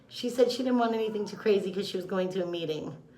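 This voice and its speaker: A woman talks at a fairly quick pace with ordinary pitch variation. There is audible room echo. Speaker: makeup artist / beauty vlogger. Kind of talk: makeup tutorial. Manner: loud; casual, chatty.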